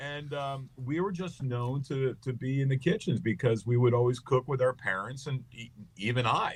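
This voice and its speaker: A man with a medium-pitched voice speaks at a moderate pace, somewhat breathy, over a quiet background. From Long Island, New York. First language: Greek. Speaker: comedian. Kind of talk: interview, casual chat. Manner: animated.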